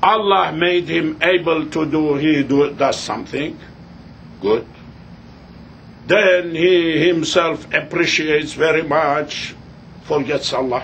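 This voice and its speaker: A man with a non-native accent and a fairly high pitch speaks very slowly, with ordinary pitch variation and long, frequent pauses. There is audible room echo. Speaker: religious teacher. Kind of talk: lecture. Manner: halting.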